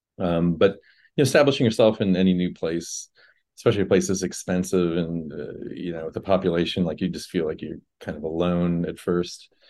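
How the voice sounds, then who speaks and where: With an American accent, a man talks at a fairly quick pace in a very deep, low voice against a quiet background. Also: ordinary pitch variation. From Indiana, Fort Wayne. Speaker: rock musician. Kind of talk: casual interview.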